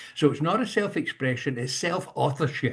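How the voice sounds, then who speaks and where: A man speaks in a somewhat breathy, fairly high voice. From Scotland. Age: 70s. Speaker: leadership coach, industrial psychologist. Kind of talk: talk on leadership. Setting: video call.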